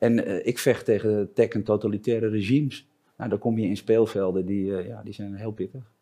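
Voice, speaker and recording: A dark, mellow tone carries fairly even intonation, with big swings in loudness. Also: man, fairly low pitch for a man, moderate pace. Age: 50s. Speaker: entrepreneur and international keynote speaker. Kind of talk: casual interview. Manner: halting.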